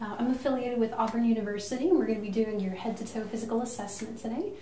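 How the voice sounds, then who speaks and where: A woman's fairly high voice with fairly even intonation, audible room echo and light background noise. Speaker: nurse practitioner. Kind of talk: clinical head-to-toe assessment narration, unintentional ASMR. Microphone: phone near.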